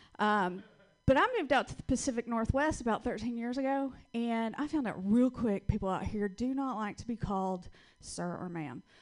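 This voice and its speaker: With a Southern US accent, a woman speaks at a fairly high pitch with ordinary pitch variation. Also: moderate pace. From US South. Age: 40s. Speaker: comedian. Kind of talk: stand-up. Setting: stage with audience.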